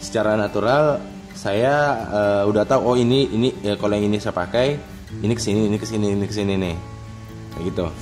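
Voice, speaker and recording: Over clear music in the background, a man with a South Sulawesi accent speaks at a very fast pace, with a fairly low pitch and fairly even intonation. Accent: Bone regional Indonesian. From Bone, South Sulawesi, Indonesia. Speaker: unboxing vlogger. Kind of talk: casual unboxing talk to camera. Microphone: phone near.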